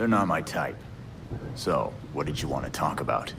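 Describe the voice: In a put-on character voice, a man uses an extremely low pitch with vocal fry and lively intonation. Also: moderate pace.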